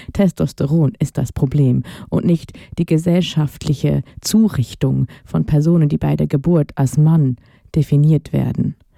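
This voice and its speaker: A woman with very deep, low pitch and a dark, mellow tone speaks fairly slowly with ordinary pitch variation and very even loudness, in dry, close sound with no echo. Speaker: radio host. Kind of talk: personal monologue.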